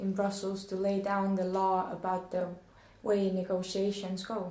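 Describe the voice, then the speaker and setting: The speaker has a non-native accent, heard with audible room echo. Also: woman. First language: not English. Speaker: questioner. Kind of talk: reading questions aloud.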